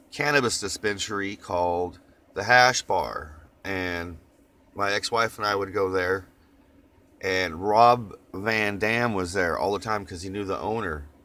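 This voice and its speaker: A man's fairly low voice in a slight Oklahoma accent, relaxed in tone yet bright and sharp. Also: ordinary pitch variation. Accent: Oklahoma twang, slight. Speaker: vlogger. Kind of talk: casual chat. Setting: in a van. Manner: relaxed, rambling with fillers.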